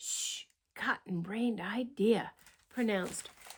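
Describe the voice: With a quiet background behind it, the clip is plain reading aloud.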